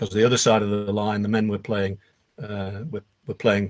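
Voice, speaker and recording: A man with a Lancashire accent and a fairly low pitch. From northern England, Burnley. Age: 70s. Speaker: author and documentary filmmaker. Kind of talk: interview.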